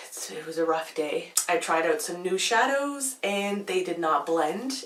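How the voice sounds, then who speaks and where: Against noticeable background noise, a woman speaks with a fairly low pitch and lively intonation at a moderate pace. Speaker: beauty vlogger. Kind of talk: casual vlog talk. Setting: home, filming at night.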